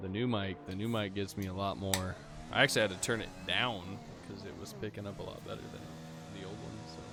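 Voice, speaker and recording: Over background music and audible room echo, a man with a very deep, low pitch talks at a fairly quick pace, with ordinary pitch variation and big swings in loudness. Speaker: sim racing league streamer and commentator. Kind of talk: casual chat; live commentary. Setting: live stream.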